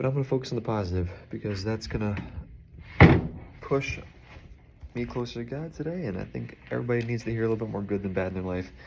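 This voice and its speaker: A quiet man at a very fast pace with long, frequent pauses, ordinary pitch variation, and noticeable background noise. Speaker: video blogger talking to his partner. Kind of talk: casual personal video message. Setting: indoors, unpacking packages. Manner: quiet, low voice; casual, chatty.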